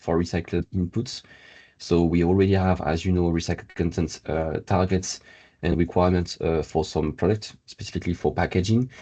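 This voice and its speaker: Fairly quick and with fairly even intonation, a man speaks in a very deep, low pitch with a dark, mellow tone. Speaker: circular economy policy consultant. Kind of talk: webinar presentation. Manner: hesitant with many fillers.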